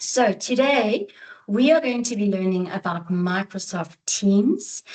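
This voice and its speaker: At a very slow pace, the woman speaks in a somewhat breathy, medium-pitched voice with lively intonation. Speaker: teacher and educator trainer. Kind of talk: online training presentation. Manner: talkative.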